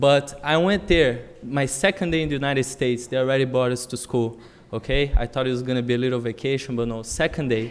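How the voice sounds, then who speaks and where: A man with a Brazilian accent speaks at a very fast pace and a medium pitch with ordinary pitch variation. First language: Portuguese. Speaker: public commenter at school committee meeting. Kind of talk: public testimony. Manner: hesitant, many fillers.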